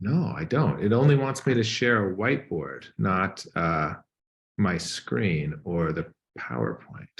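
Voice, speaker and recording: The pitch swings very widely, with vocal fry throughout. Delivery is fairly slow. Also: man, very deep, low pitch for a man. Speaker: guest lecturer. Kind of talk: online lecture, pre-talk chat.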